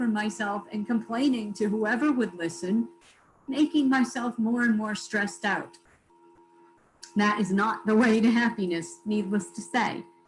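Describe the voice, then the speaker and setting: Amid noticeable background noise, a woman with a fairly high pitch speaks at a moderate pace with ordinary pitch variation. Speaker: motivational speaker. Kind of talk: keynote talk. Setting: video call.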